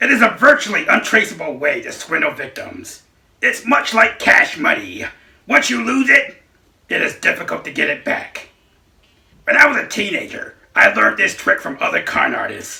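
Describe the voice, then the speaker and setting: A cartoonish character voice at a moderate pace. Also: man. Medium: puppet show. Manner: plain, explanatory.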